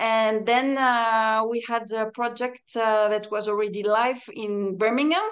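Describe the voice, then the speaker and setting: A woman with a French accent speaks fairly slowly at a fairly high pitch, with fairly even intonation and hardly any pauses. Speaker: padel player and coach. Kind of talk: interview chat.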